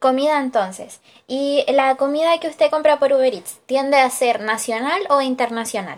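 A woman's high voice moves at a moderate tempo, with pitch rising and falling in an ordinary way. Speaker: student interviewer. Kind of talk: research interview.

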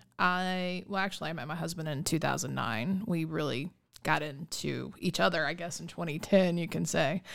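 Recorded very cleanly against a silent background, a woman with an American accent speaks with vocal fry and ordinary pitch variation. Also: fairly low pitch for a woman, moderate pace. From US Midwest, small-town Ohio. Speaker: podcast co-host, hemp business owner. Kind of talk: casual chat.

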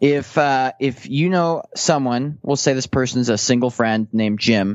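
The speaker has an unremarkable speaking voice and a fairly slow pace. The pitch varies in an ordinary way. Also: man. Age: 30s. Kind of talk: casual chat.

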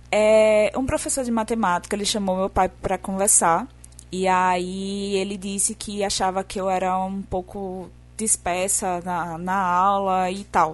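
In a southern Brazilian accent, a woman speaks at a fairly slow pace with fairly even intonation. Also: medium pitch for a woman. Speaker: podcast guest.

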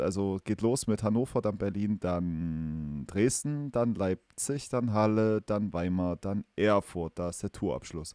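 In a very clean recording with a silent background, a man speaks at a very slow pace with lively intonation, the sound dry and close with no echo. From eastern Germany, Mansfeld region. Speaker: podcast host. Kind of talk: casual chat; announcement.

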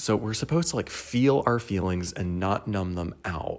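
Very deep, low male voice, fairly slow, with ordinary pitch variation. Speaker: podcaster. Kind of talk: casual solo monologue, rambling. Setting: recorded at home on couch. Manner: rambling, self-deprecating, laughs often.

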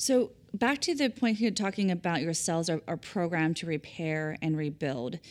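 On a very clean recording with a silent background, a woman speaks at a moderate pace, her fairly low pitch swinging very widely. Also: hardly any pauses. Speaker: podcast host. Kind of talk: interview intro and host questions, branded podcast.

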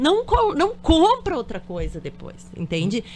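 Speech at a moderate pace is heard with noticeable background noise around it. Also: woman. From Porto Alegre, southern Brazil. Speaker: dentist and dulce de leche producer. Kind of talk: radio interview. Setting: radio studio.

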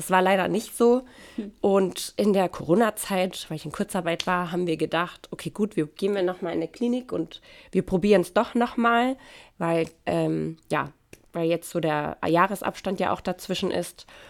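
On a very clean recording with a silent background, the speech has ordinary pitch variation and a moderate pace. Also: woman, medium pitch for a woman. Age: 30s. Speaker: mother and church volunteer. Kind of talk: testimony. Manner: hesitant, many fillers.

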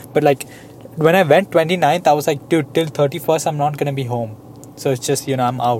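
At a moderate pace, a man with a fairly high pitch speaks in an animated tone with ordinary pitch variation and long, frequent pauses over noticeable background noise. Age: 20s. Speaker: podcast co-host. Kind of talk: casual chat.

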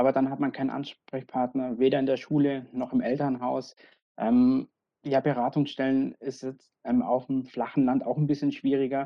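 At a moderate pace, a woman speaks in a very deep, low voice with monotone, flat intonation. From Bavaria, Augsburg. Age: 30s. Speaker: local politician and queer activist. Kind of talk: podcast interview.

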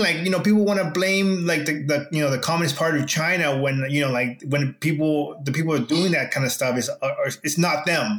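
The clip has an unremarkable speaking voice delivered at a moderate pace. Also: man. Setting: video call.

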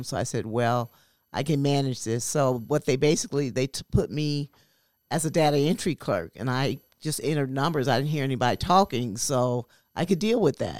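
Over a very clean recording with a silent background, a woman speaks at a fairly quick pace. Her pitch is very deep and low. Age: 60s. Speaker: mental health clubhouse member. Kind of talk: interview testimony. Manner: halting, many fillers.

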